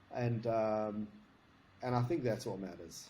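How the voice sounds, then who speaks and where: A man with a South African accent, a dark, mellow tone and a somewhat breathy sound, at a moderate pace. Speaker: security consultant. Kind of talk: interview.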